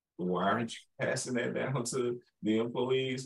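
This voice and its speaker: A man talks with a Southern US accent at a moderate pace. The background is quiet. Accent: Southern-tinged, sounds country. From Chicago. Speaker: podcast host. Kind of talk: interview. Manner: animated. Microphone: video call.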